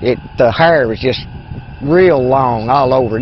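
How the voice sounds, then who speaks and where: A man speaks with an American accent and lively intonation. Noticeable background noise is audible. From Kentucky, Anderson County. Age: 50s. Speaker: eyewitness. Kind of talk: testimony. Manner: halting, with many fillers.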